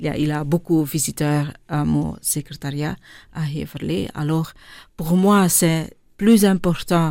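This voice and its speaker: Her tone dark and mellow, a woman speaks at a very deep, low pitch with ordinary pitch variation. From Flanders, Belgium (born in India, adopted at 6). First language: Dutch (Flemish) (speaking French). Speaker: charity director. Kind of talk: interview. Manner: halting.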